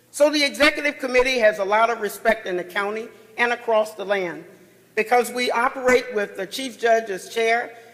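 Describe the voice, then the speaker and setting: A loud man at a moderate pace with an American accent, his pitch extremely high, over noticeable background noise. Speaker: chief judge, panel speaker. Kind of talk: conference panel talk. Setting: conference session with audience.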